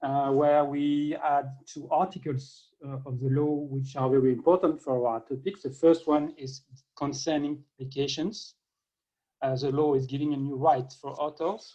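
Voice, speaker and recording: This man has a fairly high pitch and a dark, mellow tone, with a French accent. His intonation stays fairly even at a moderate pace. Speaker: government open science official. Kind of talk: conference keynote. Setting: video call. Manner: halting.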